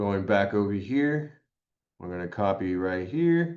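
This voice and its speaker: Very slow speech against a quiet background. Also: man. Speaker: real estate trainer; presenter. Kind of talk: tutorial. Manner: hesitant with fillers.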